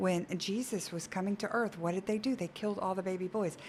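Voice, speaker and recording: An unremarkable speaking voice from a woman, medium in pitch, fairly quick in pace, with fairly even intonation. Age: 50s. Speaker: pregnancy center worker. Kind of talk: interview.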